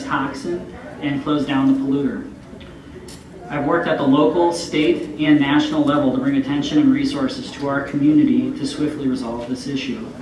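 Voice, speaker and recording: A man's fairly high voice at a fairly quick pace, ordinary pitch variation, noticeable background noise and audible room echo. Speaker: mayoral candidate. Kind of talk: debate opening statement. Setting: restaurant event with audience. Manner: soft-spoken. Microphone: too quiet at first.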